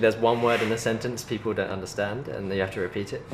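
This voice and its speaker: At a very fast pace, a man with a British accent and medium pitch speaks over noticeable background noise. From England. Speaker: film student. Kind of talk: interview answer.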